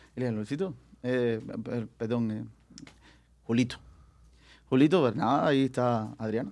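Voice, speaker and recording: Pausing long and often, a man speaks at a moderate pace in a medium pitch with ordinary pitch variation. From Cuba. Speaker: singer. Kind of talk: casual chat.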